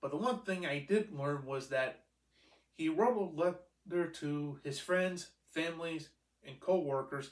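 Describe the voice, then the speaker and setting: At a fairly slow pace, a man speaks with ordinary pitch variation in audible room echo over a quiet background. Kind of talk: casual vlog chat. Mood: earnest, grateful. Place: home room. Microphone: camera far.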